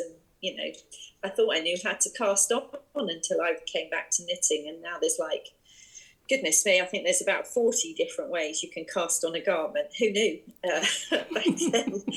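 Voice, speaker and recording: A woman talks in an English accent. Her loudness swings widely. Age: 60s. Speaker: yarn shop owner and online craft community creator. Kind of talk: interview. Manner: hesitant, many fillers.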